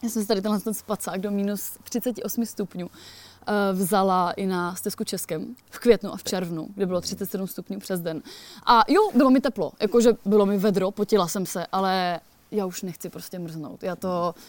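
A woman's medium-pitched, plain, everyday voice at a moderate pace, with fairly even intonation and big swings in loudness, in a very clean recording with a silent background. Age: 30s. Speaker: hiker and author. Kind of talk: casual interview. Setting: outdoors at a mountain cottage.

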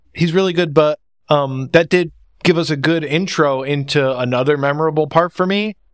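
A man speaks in an unremarkable speaking voice. His pitch is fairly high and his intonation fairly even. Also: moderate pace. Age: 30s. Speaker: podcast host. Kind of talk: casual chat.

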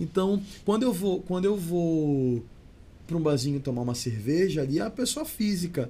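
The man's voice is high-pitched, with a dark, mellow tone and lively intonation. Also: moderate pace. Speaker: singer and actor. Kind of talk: casual chat. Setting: studio.

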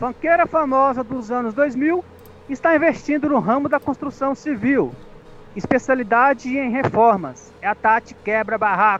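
A man speaks at an extremely high pitch and a fairly slow pace. There is noticeable background noise. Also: ordinary pitch variation. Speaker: comedy web radio co-host. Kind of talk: comedy news bits.

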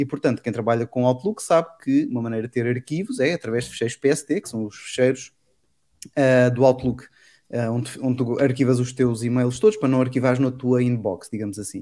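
On a very clean recording with a silent background, a man with a dark, mellow tone speaks at a fairly quick pace, medium in pitch with ordinary pitch variation. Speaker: tech podcast host. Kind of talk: casual chat.

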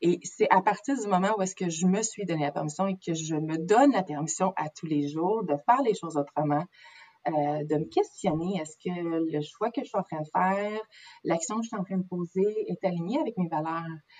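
A woman with a Quebec accent, a dark, mellow tone and medium pitch, at a moderate pace with ordinary pitch variation. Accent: Québécois French. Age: 30s. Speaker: naturopath. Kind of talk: interview. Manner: halting.

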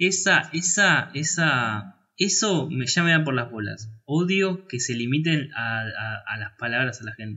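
The speaker talks at a fairly slow pace with lively intonation and a Rioplatense accent. There are hardly any pauses. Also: man, fairly high pitch for a man. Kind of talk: casual chat about film. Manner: halting, repeats words, filler words.

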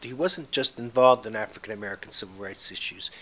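Speaking at a fairly quick pace, the man has a medium pitch and an unremarkable speaking voice. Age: 60s. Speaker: activist preserving a civil rights leader's legacy. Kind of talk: interview.

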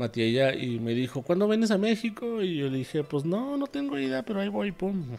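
Speaking at a fairly quick pace with hardly any pauses, a man uses a high pitch with very wide pitch swings. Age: 30s. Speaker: podcast host, freelance creative in advertising. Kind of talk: solo monologue podcast. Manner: serious-sounding voice; hesitant, many fillers.

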